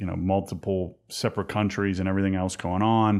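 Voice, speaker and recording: Man with a Pittsburgh accent, very deep and low in pitch, monotone and flat, at a moderate pace. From US, Pittsburgh. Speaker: podcast host. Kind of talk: interview.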